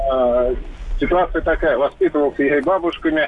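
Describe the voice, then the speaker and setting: Background noise is clearly audible. Over it, a man talks fairly quickly. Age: 30s. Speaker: caller. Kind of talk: call-in testimony.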